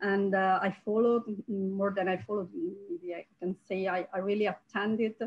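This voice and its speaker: Speaking with a strong Italian accent, a woman at medium pitch keeps a fairly even intonation and a moderate pace with hardly any pauses. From Italy. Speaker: archaeologist. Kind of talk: academic roundtable talk. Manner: halting, many fillers.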